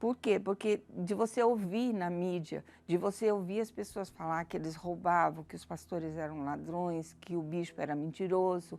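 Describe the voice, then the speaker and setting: A woman with an ordinary speaking voice speaks at a fairly low pitch and a moderate pace, with ordinary pitch variation and hardly any pauses. The recording is very clean, with a silent background. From Brazil, Campinas, São Paulo. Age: 60s. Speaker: church member giving testimony. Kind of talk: testimony.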